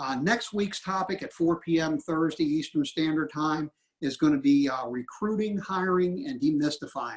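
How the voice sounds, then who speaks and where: Here is a man with a plain, everyday voice. He keeps a moderate pace. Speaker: association representative, webinar co-host. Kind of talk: webinar closing remarks. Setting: online webinar.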